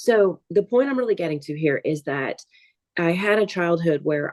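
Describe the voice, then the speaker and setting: In a New Orleans accent, a woman speaks with a very deep, low pitch. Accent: New Orleans Southern US. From US South, New Orleans, Louisiana. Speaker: artist and entrepreneur. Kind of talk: interview.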